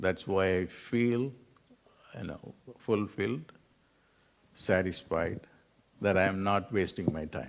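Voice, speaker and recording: This man's voice is very deep and low, with a Tamil accent. He moves at a fairly slow pace with ordinary pitch variation. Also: very clean recording, silent background. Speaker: spiritual teacher. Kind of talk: lecture.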